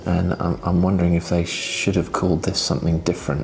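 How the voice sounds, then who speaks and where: Over noticeable background noise, a man with a very deep, low pitch talks at a fairly quick pace with fairly even intonation. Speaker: tech reviewer. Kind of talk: casual vlog.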